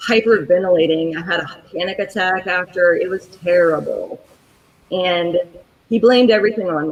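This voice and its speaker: At a moderate pace, a woman talks in a normal speaking voice of medium pitch with ordinary pitch variation. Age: 40s. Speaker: chronic pain patient advocate. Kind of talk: personal story told in interview.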